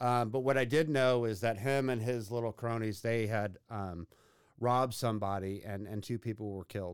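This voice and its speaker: Recorded very cleanly against a silent background, a man with an American accent and a plain, everyday voice talks at a moderate pace and medium pitch with ordinary pitch variation. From Texas, Katy near Houston. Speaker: recovering addict, behavioral health compliance worker. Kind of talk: testimony. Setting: studio.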